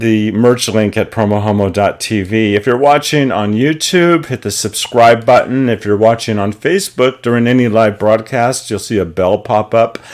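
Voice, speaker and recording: Pitch varies in an ordinary way as the speech unfolds at a fairly slow pace. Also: man. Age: 50s. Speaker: online show host. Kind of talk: show announcements. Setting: home studio. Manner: hesitant fillers.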